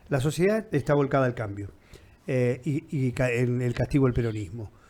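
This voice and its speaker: Dark and mellow in tone, a man's medium-pitched voice moves at a fairly quick pace with ordinary pitch variation. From Argentina, Viedma (Patagonia). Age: 60s. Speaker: interviewer. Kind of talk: interview.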